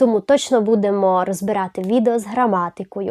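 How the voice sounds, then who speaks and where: Recorded in a dry, close sound with no echo and a quiet background, a woman speaks. She keeps a moderate pace and ordinary pitch variation. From Zakarpattia, western Ukraine. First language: Hungarian (speaking Ukrainian). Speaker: language teacher, YouTuber. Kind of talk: channel introduction video.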